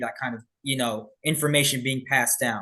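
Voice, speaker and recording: A man with an American accent talks at a fairly quick pace. His tone is bright and sharp. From Birmingham, Alabama, United States. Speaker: police officer. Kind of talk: interview answer.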